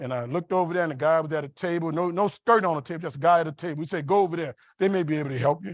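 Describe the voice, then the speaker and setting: A very fast, animated man with an American accent and fairly high pitch, in a very clean, dry, close recording with a silent background and no echo. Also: ordinary pitch variation, hardly any pauses. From US South, New Orleans. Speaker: keynote speaker, engineer and mentor. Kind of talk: motivational keynote speech. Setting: conference dinner, stage with audience. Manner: animated storytelling.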